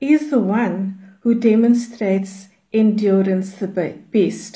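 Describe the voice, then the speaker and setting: A woman speaks at a very slow pace in a fairly high pitch. Her tone is dark and mellow, and somewhat breathy. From South Africa, Cape Town. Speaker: prayer movement leader. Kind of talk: teaching.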